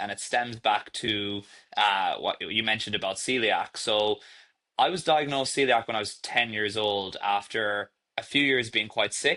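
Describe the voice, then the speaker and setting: A man speaks with a slight Irish accent. His medium-pitched voice has a bright, sharp tone. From Ireland. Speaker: startup founder and CEO. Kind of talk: podcast interview.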